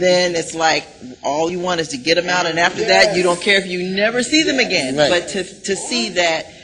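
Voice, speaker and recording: Noticeable background noise sits under this recording. A woman talks at a moderate pace in a fairly low pitch with ordinary pitch variation. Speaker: TV talk show host, voice-over artist. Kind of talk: conversational TV interview with guests.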